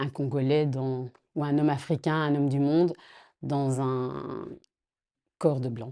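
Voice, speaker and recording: A woman speaks with a dark, mellow tone. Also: quiet background. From Belgium. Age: 40s. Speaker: interviewee in documentary portrait. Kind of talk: personal testimony. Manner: hesitant, many fillers.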